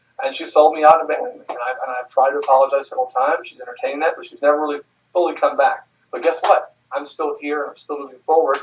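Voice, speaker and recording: An American-accented man talks at a very fast pace with a fairly high pitch. His pitch swings very widely and his loudness swings a lot. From US South. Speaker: adult film performer. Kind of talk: interview. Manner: halting.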